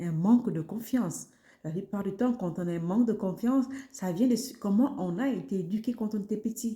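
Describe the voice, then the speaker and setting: Somewhat breathy with a dark, mellow tone, a woman speaks at a medium pitch with lively intonation. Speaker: wellness podcaster. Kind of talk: self-help podcast talk. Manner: animated.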